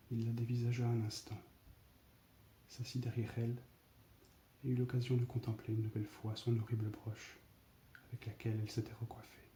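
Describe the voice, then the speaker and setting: A soft-spoken man with a medium pitch and a dark, mellow, somewhat breathy tone talks at a fairly quick pace in a monotone, flat intonation, with long, frequent pauses. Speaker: ASMR storyteller. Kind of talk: read story.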